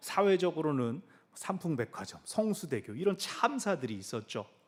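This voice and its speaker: A man talks rather slowly, his pitch leaping over a very wide range. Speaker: pastor. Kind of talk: sermon. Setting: church.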